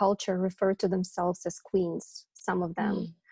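A somewhat breathy woman with a Ukrainian accent, dark and mellow in tone, monotone and flat in intonation, at a moderate pace, in a dry, close sound with no echo. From Ukraine. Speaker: project manager. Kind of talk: interview.

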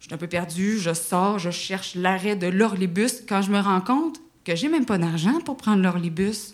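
In a Quebec accent, a woman with medium pitch speaks at a moderate pace with lively intonation and big swings in loudness, with audible room echo. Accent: Québécois. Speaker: actress and screenwriter. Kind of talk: storytelling. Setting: stage with audience.

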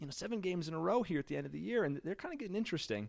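A man speaks with an American accent and very wide pitch swings. The recording is very clean, with a silent background. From Illinois, US Midwest. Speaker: sports blogger. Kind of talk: casual chat.

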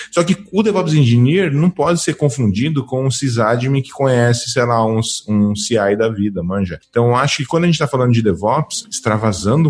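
Somewhat breathy and at a medium pitch, a man talks at a very fast pace. His pitch swings very widely. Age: 30s. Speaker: DevOps engineer and YouTuber. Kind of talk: casual interview chat. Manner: animated.

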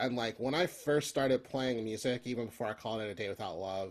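A man with an American accent talks at a moderate pace in an ordinary speaking voice. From Philadelphia. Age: 30s. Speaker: folk punk musician. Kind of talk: casual interview chat.

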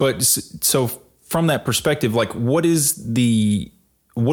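A man with a Mississippi accent speaks at a fairly slow pace and a medium pitch. The recording is very clean, with a silent background. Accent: Southern US (Mississippi). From rural Mississippi, US South. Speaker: podcast co-host, data advocate. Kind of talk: casual chat.

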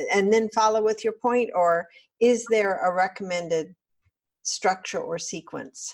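This is a normal speaking voice from a woman at medium pitch. She talks at a fairly slow pace with ordinary pitch variation. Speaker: podcast host. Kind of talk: interview.

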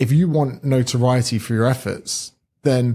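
A man's somewhat breathy voice of medium pitch, dark and mellow in tone, with fairly even intonation. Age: 30s. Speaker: personal trainer and author. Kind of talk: casual chat.

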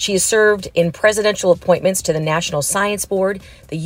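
A woman's somewhat breathy voice at a fairly quick pace. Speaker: podcast host. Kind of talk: interview questions.

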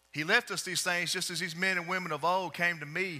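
Words come at a very fast pace, with ordinary pitch variation. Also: man. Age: 40s. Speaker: preacher. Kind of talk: sermon. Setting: church with live congregation.

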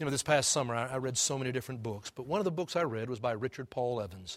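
Recorded very cleanly with a silent background and a dry, close sound with no echo, a man with an American accent talks at a very fast pace, at medium pitch, with ordinary pitch variation. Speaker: pastor. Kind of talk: sermon. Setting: church.

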